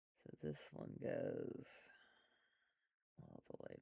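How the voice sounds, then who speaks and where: Soft-spoken, a man talks at a very slow pace. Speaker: art instructor. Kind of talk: tutorial.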